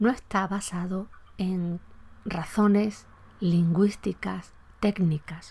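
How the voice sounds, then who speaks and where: Somewhat breathy and dark, mellow in tone, a woman speaks at a medium pitch on a very clean recording with a silent background. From Andalusia, Spain. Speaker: podcast host, Spanish language historian. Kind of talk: educational podcast lecture.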